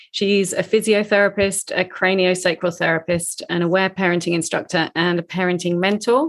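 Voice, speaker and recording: A woman's plain, everyday voice at a medium pitch, with fairly even intonation at a moderate pace. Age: 50s. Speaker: podcast host. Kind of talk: casual interview; scripted intro.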